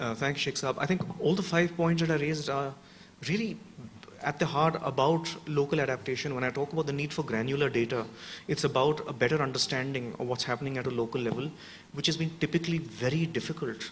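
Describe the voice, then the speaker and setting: This man's voice is fairly high, with ordinary pitch variation. He talks very fast, and noticeable background noise can be heard. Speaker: urban resilience researcher. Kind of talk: panel discussion answer. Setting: workshop with audience.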